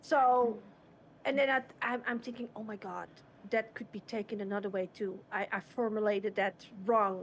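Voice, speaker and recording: A woman with a non-native accent speaks at a moderate pace. Her fairly high pitch carries fairly even intonation. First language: not English. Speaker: streamer. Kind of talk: casual chat.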